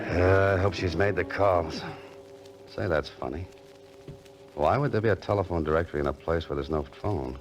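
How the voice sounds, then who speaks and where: With music in the background, a man with a very deep, low pitch speaks at a fairly quick pace with lively intonation and long, frequent pauses. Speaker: radio drama actor playing a writer-adventurer. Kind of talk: old-time radio drama with first-person narration.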